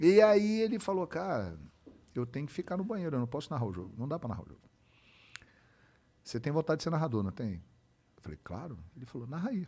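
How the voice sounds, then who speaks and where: A man with a fairly high pitch and a somewhat breathy voice talks at a very fast pace, with very wide pitch swings, big swings in loudness, and long, frequent pauses. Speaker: sports broadcaster (football commentator). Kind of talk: casual podcast interview answer, storytelling.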